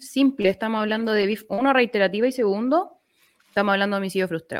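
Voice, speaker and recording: A woman with a Chilean accent, fairly high-pitched, with ordinary pitch variation and a very fast pace. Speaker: lawyer. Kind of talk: casual chat.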